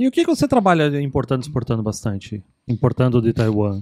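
A man with a medium pitch and a dark, mellow tone speaks very fast. The sound is dry and close, with no echo. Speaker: podcast host. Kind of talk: casual chat.

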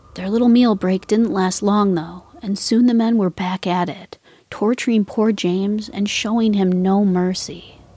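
A woman speaks at a fairly slow pace with hardly any pauses, in a somewhat breathy voice with a dark, mellow tone, medium pitch, and fairly even intonation. The recording is very clean, with a silent background. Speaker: true crime podcast host. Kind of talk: true-crime narration, scripted.

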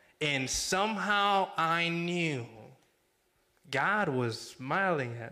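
In a room with audible echo, a man with a high pitch and a bright, sharp tone talks at a very slow pace with lively intonation and long, frequent pauses. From Mexico. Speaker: campus ministry director. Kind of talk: sermon. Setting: church.

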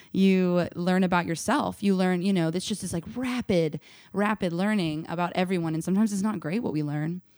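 In an ordinary speaking voice, a woman with an American accent talks at a fairly quick pace, medium pitch and ordinary pitch variation. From US South, Nashville, Tennessee. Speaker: artist and activist. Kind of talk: casual chat.

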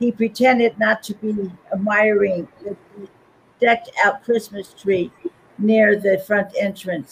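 Here a passage is read aloud in a natural voice.

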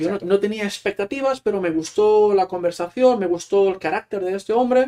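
A man with a Catalan accent, a high pitch, ordinary pitch variation and a fairly quick pace. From Catalonia, small town near Barcelona. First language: Catalan (speaking Spanish). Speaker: Spanish teacher and author. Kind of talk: casual interview.

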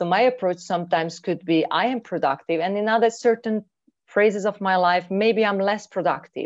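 A woman with a Hungarian accent, medium pitch and ordinary pitch variation, against a quiet background. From Hungary. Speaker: mindfulness trainer and coach. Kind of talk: interview. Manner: halting.

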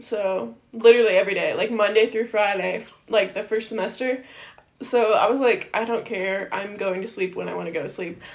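At a fairly quick pace, a woman talks in an ordinary speaking voice with a fairly high pitch and fairly even intonation. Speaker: podcast co-host. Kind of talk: casual chat.

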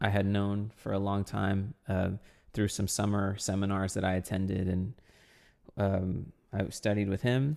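At a fairly slow pace, a man with an ordinary speaking voice talks at a fairly low pitch with very even loudness and fairly even intonation. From South Texas. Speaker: percussionist and composer. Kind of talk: interview.

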